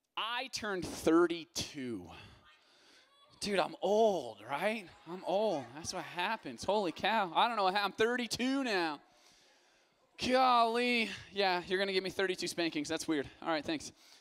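Very slowly and with long, frequent pauses, a man speaks. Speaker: youth pastor. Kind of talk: sermon. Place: stage. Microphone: handheld.

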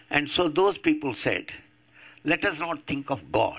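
A man with an Indian accent speaks at a very slow pace in a bright, sharp tone with ordinary pitch variation against a quiet background. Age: 80s+. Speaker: atheist activist. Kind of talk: public talk. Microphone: podium.

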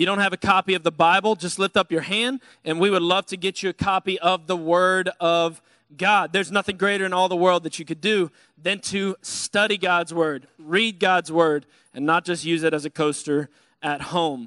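A man's bright, sharp tone with fairly even intonation, dry with no echo, against a quiet background. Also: moderate pace. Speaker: pastor. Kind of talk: sermon. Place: church. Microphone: handheld.

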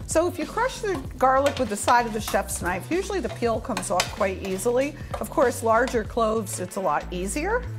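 A woman's voice over clear background music. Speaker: cooking show host. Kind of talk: tutorial. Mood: warm, relaxed. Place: kitchen.

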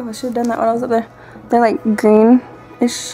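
A woman with a Southern US accent, faint music in the background. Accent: Southern US country. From Georgia, US. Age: 20s. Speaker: vlogger. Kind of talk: casual talk to camera. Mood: playful, a bit shy. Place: home room. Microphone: webcam.

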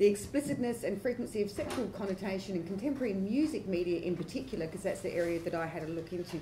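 The voice belongs to a woman. Some light background noise sits behind her. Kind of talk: conference presentation. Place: hall. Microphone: camera far.

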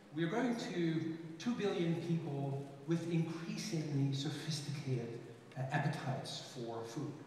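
Amid strong room echo and light background noise, a man speaks at a fairly slow pace with ordinary pitch variation. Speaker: conference speaker. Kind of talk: lecture. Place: stage.

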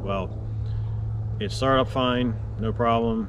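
Noticeable background noise can be heard. Through it, a man is talking. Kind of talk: casual vlog chat. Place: open country. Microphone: camera far.

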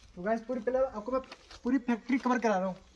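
With audible room echo, a man talks fast at an extremely high pitch with ordinary pitch variation.

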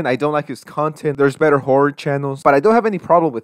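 The speaker is a man. His pitch varies in an ordinary way, and the sound is dry and close with no echo. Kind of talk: rant commentary.

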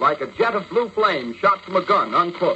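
Over noticeable background noise, a man speaks in a raised, projected voice at a high pitch and a fairly quick pace. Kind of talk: radio news bulletin read. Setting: old radio broadcast.

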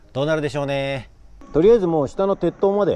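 Music plays in the background as a man speaks at a moderate pace. The sound is dry with no echo. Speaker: mountain bike racer vlogger. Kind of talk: casual vlog chat. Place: open country. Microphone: lapel.

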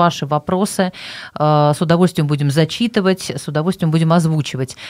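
In a normal speaking voice, a woman with fairly low pitch and ordinary pitch variation talks at a moderate pace against a quiet background. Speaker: radio host. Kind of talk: radio show hosting. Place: studio. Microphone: studio mic.

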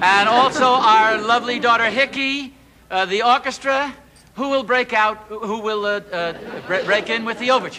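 A raised, projected voice delivers fairly even intonation at a moderate pace over light background noise. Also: man. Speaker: comedy sketch host. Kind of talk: comic stage announcement. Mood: comic, bumbling. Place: studio. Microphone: camera far.

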